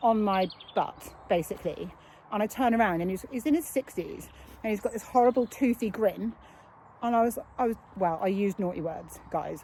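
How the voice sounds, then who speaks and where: A woman with a British accent and a fairly high voice talks at a fairly quick pace with ordinary pitch variation and long, frequent pauses. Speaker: cyclist vlogger. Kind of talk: casual talk to camera while riding. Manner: fast.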